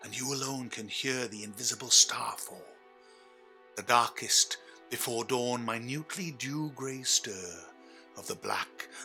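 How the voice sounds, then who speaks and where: A man speaks at a fairly slow pace with music in the background. His pitch is medium, with ordinary variation. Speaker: stage actor. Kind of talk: live theatre performance of a verse play prologue.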